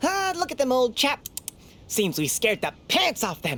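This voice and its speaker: A put-on character voice, female-sounding and high-pitched, moves at a moderate pace with very wide pitch swings. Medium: video game. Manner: condescending, dry wit.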